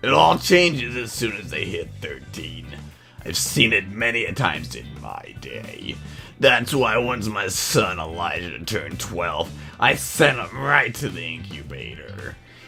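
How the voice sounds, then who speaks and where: With clear music in the background, a man performs a put-on character voice at medium pitch and a fairly slow pace. His pitch swings very widely, and his loudness shifts a great deal. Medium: comedy sketch. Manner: blunt, deadpan.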